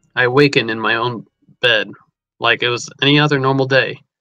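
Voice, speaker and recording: With music in the background, a man talks at a fairly quick pace in a monotone, flat intonation. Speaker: amateur storyteller and game streamer. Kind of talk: reading aloud his own story. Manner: halting, stumbles over words.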